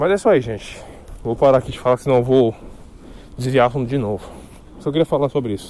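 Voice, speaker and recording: The speaker is a man. His pitch sits fairly high. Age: 20s. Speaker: podcaster. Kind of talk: solo casual monologue. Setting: walking outdoors.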